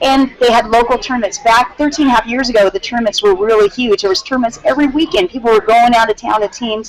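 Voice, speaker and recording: With noticeable background noise behind her, a woman speaks very fast at a high pitch, with ordinary pitch variation and hardly any pauses. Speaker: teacher and competitive dance gamer. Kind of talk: interview testimony.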